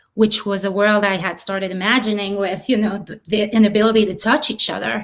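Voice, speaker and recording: The speaker has a French accent and a fairly quick pace. Intonation stays fairly even. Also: woman, medium pitch for a woman. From southern France, Marseille. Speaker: filmmaker and actress. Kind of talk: interview.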